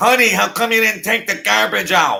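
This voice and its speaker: His pitch sits fairly high and swings very widely. The man is doing a put-on character voice. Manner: nagging.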